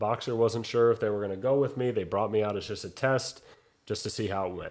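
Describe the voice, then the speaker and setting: A man's ordinary speaking voice at medium pitch and a fairly quick pace. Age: young. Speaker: boxing ring announcer. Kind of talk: interview answer, conversational.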